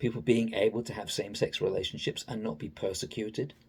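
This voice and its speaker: A man speaks with an English accent. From England. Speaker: political commentator. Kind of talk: opinion monologue. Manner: halting.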